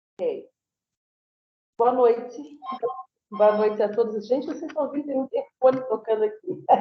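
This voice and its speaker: Pausing long and often, a woman talks at a moderate pace in a high voice with ordinary pitch variation. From southern Brazil, Florianópolis, Santa Catarina. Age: 60s. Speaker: lecturer and researcher. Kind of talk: lecture. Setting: video call.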